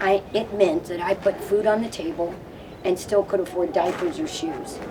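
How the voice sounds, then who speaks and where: Audible room echo and noticeable background noise surround a woman speaking at a moderate pace in a medium pitch. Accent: American. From US South. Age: 60s. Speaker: community member on food assistance. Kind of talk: press conference speech.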